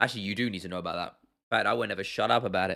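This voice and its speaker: A man with a British accent, animated in tone and bright and sharp in sound. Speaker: MMA YouTuber. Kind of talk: livestream chat.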